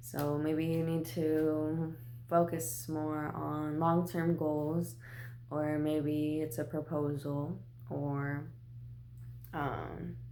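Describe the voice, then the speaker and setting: A woman speaks in a very deep, low voice with a dark, mellow tone. Her intonation is monotone and flat, with audible room echo. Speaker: tarot card reader. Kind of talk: tarot reading vlog. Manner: casual, relaxed.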